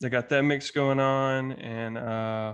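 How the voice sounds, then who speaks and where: Intonation stays monotone and flat. The man speaks at a very slow pace. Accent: Southern US. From US South, Alabama. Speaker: podcast guest. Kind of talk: casual conversation.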